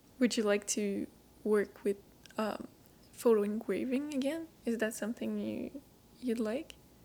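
Slowish and marked by long, frequent pauses, a woman with a French accent speaks at a fairly high pitch in a dark, mellow tone. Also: ordinary pitch variation. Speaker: podcast host. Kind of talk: scripted intro and interview.

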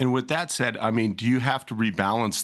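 Vocal fry runs through a man's speech at a fairly quick pace. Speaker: podcast co-host. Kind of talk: casual chat.

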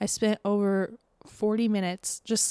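A woman's dark, mellow tone in flat, monotone delivery at a fairly slow pace, dry and close with no echo, in a very clean recording with a silent background. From Florida, Tampa Bay area. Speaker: podcast host. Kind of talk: casual monologue. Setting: home, window open. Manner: casual, filler-heavy.

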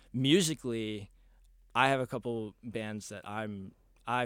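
A man with a Texan accent speaks at a medium pitch with fairly even intonation, on a very clean recording with a silent background. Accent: Texan American. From Texas, Dallas. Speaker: college baseball player and musician. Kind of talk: casual interview.

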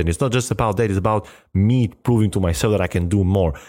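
On a very clean recording with a silent background, a man with an Albanian accent speaks at a fairly quick pace. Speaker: podcast host, motivational speaker. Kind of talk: motivational talk.

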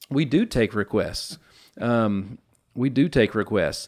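A man speaks with a Tennessee accent. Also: very clean recording, silent background. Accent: Southern US (Tennessee). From US South, Nashville, Tennessee. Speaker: podcast host. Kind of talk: casual interview chat. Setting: studio. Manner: animated.

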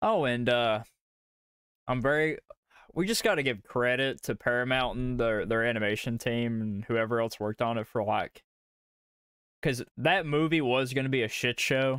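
A man with a Southern US accent speaks at a medium pitch and a moderate pace with ordinary pitch variation. The recording is very clean, with a silent background. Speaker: podcast host. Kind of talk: casual chat podcast. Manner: casual, profane, rambling.

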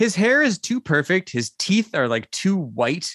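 A man's voice swings very widely in pitch, with a dry, close sound and no echo. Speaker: podcast host. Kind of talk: casual comedic banter.

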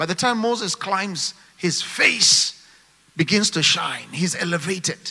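Noticeable background noise sits behind a man speaking at a fairly slow pace in a high pitch, his tone animated. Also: ordinary pitch variation. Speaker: preacher. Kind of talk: sermon to a live church congregation, with call-and-response. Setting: church with congregation and online viewers. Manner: fervent, animated, rising in intensity, exhorting the crowd; rhythmic, emphatic, punchy short phrases.

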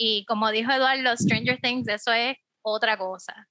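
A woman speaks at a moderate pace in a fairly high voice with a bright, sharp tone and a dry, close sound with no echo. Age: 30s. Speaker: teacher. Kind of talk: casual chat.

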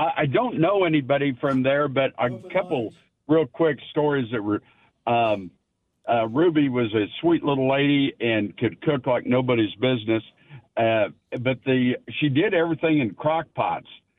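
In a normal speaking voice, a man at medium pitch speaks at a moderate pace with lively intonation and very even loudness. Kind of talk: casual chat. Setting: phone call.

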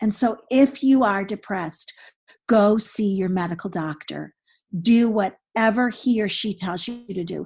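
A woman speaks in an animated tone at a fairly slow pace. Her voice is somewhat breathy, with ordinary pitch variation. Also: medium pitch for a woman. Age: 60s. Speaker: author and women's conference speaker. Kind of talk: interview conversation. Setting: podcast.

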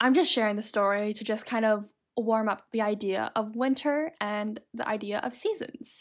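A Canadian accent, ordinary pitch variation and a moderate pace in an ordinary speaking voice, on a very clean recording with a silent background. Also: woman. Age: 20s. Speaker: podcaster. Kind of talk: solo monologue.

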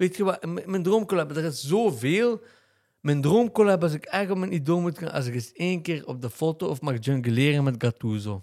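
At a moderate pace, a man with a fairly high pitch speaks with very wide pitch swings on a very clean recording with a silent background. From Belgium, Limburg (Genk). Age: 30s. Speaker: theatre maker and Instagram influencer. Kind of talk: casual chat.

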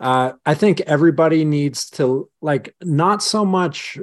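A man speaks very slowly with a Western Canadian accent and ordinary pitch variation. The background is quiet. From rural southern British Columbia, Canada. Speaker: strength coach and law enforcement officer, former hammer thrower. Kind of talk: casual interview conversation. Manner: long-winded.

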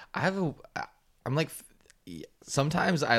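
A man talks at a moderate pace. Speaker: podcast co-host. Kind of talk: casual chat. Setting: kitchen.

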